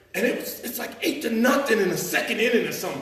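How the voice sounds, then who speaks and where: A man with an American accent talks at a fairly quick pace. Noticeable background noise is present. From Chicago. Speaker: storyteller. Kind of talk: live storytelling performance. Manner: casual, humorous.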